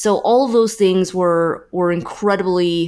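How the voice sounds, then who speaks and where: A woman with a Californian accent speaks at a fairly slow pace and a fairly low pitch, with ordinary pitch variation. The recording is very clean, with a silent background. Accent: General American (Californian). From US West Coast, San Francisco Bay Area. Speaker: marketing consultant. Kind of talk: interview. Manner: frequent fillers and repetitions.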